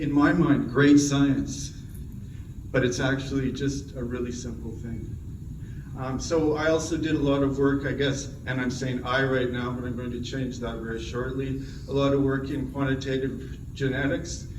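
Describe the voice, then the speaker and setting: Over noticeable background noise and audible room echo, a man speaks at a moderate pace and medium pitch in a monotone, flat intonation. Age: 60s. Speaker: plant breeding professor. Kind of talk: award acceptance talk. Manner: halting.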